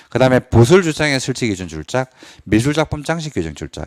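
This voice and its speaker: Very fast and animated, a man's speech swings very widely in pitch, with a dry, close sound and no echo. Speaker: exam prep lecturer. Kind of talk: lecture.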